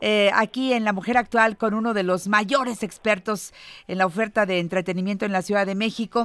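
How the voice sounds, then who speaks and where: With a plain, everyday voice, a woman talks at a moderate pace and a fairly high pitch. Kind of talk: interview.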